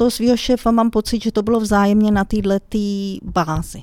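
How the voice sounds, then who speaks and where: A woman speaks at a medium pitch and moderate pace in a dark, mellow tone. The sound is dry and close with no echo, in a very clean recording with a silent background. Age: 50s. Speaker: IT analyst. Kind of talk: interview.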